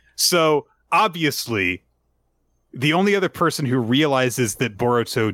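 Speaking fairly slowly with an American accent, a man uses lively intonation and a bright, sharp tone. The recording is very clean, with a silent background. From Tampa area, Florida. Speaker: manga podcast host. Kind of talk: casual podcast discussion.

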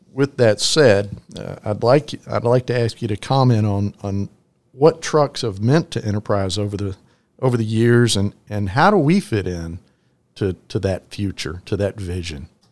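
An unremarkable speaking voice from a man, fairly low in pitch, with lively intonation and a fairly slow pace, in a very clean recording with a silent background. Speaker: podcast host and trucking executive. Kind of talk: interview.

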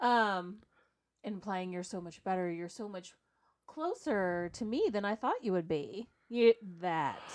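Against a quiet background, a woman speaks fairly slowly in an animated tone at medium pitch, with ordinary pitch variation and big swings in loudness. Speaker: podcast co-host. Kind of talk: casual chat. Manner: animated, joking.

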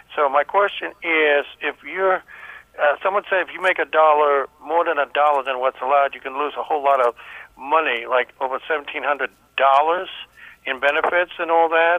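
The speaker has a plain, everyday voice with an American accent. The pace is fairly quick. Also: man, fairly high pitch for a man. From Maryland, Baltimore. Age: 60s. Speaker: caller. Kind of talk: phone-in question. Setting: phone call.

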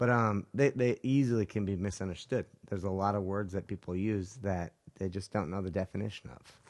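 This man has an unremarkable speaking voice with an American accent and a fairly low pitch. He talks at a fairly quick pace with ordinary pitch variation. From Utah. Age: 30s. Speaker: jiu-jitsu instructor. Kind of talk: casual chat. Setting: studio.

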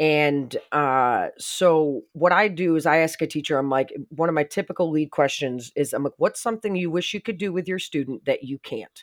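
A woman with an American accent speaks at a moderate pace in a very deep, low voice, her animated, enthusiastic tone carrying ordinary pitch variation, on a very clean recording with a silent background and a dry, close sound with no echo. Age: 40s. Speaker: special education teacher and VR consultant. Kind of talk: casual interview.

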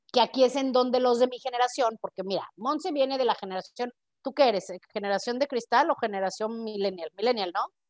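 A woman with a high pitch talks at a fairly quick pace in a dry, close sound with no echo. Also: ordinary pitch variation. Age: 40s. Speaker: podcast host. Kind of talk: casual chat.

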